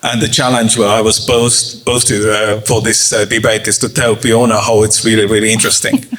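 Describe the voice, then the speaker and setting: A man's medium-pitched voice with an Estonian accent and monotone, flat intonation, amid noticeable background noise. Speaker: journalist and startup communications professional. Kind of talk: panel discussion. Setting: office event with audience. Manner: halting.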